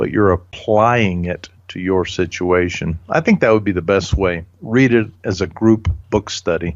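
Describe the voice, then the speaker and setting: A man talks at a fairly slow pace in a fairly low pitch with ordinary pitch variation. It is an ordinary speaking voice. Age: 60s. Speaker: leadership author and speaker. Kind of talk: interview.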